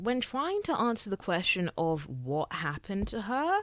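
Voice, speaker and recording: A woman with a British accent, fairly quick and full of very wide pitch swings, in a very clean recording with a silent background. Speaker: YouTuber. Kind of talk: casual chat. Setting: recorded on camera. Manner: filler-heavy, rambling speech.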